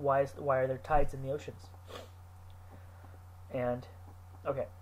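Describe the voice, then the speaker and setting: Somewhat breathy, this voice keeps a moderate pace. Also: man, medium pitch for a man, ordinary pitch variation. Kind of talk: unscripted talk to camera.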